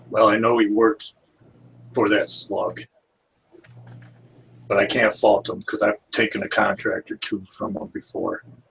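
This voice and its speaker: A man does a put-on character voice, raspy and at a moderate pace, with long, frequent pauses. The sound is dry and close, with no echo. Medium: actual play.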